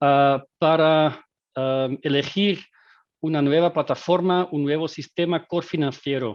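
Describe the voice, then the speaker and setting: A man with a Dutch accent talks at a fairly slow pace with fairly even intonation. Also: fairly high pitch for a man. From Belgium, Dutch-speaking. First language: Dutch (speaking Spanish). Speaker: agile coach and game designer. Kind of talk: webinar presentation. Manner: halting, many fillers.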